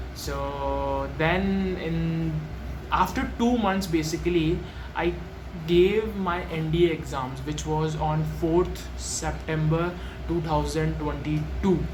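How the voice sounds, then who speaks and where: A man in an Indian accent at a very slow pace, amid noticeable background noise and audible room echo. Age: young. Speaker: student vlogger. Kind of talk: personal story vlog. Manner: halting, with many fillers.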